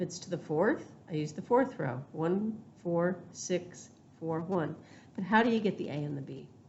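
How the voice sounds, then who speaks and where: In a room with audible echo, a woman speaks at a moderate pace with a fairly low, somewhat breathy voice and lively intonation. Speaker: math teacher. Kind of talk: lecture.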